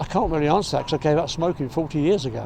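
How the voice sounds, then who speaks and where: There is noticeable background noise behind a man whose voice is fairly high in pitch. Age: 70s. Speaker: charity runner. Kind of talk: interview answer.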